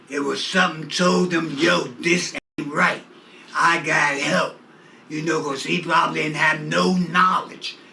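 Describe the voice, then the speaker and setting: Noticeable background noise sits behind a man speaking fairly slowly at a fairly high pitch with ordinary pitch variation. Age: 70s. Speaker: community activist. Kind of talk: interview. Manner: animated.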